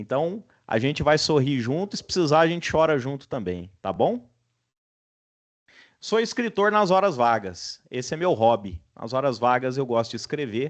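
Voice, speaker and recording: A man with a strong Minas Gerais accent, medium pitch and very wide pitch swings, fairly slow in pace against a quiet background. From Brazil, Minas Gerais. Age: 40s. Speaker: university lecturer. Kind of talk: online class introduction. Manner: casual, relaxed.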